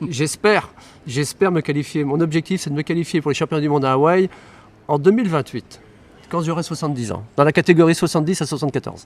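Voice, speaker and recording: Very fast and fairly high-pitched, a man talks with ordinary pitch variation in a dry, close sound with no echo. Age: 60s. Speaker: triathlon club co-president. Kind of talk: interview. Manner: hesitant, repeats words.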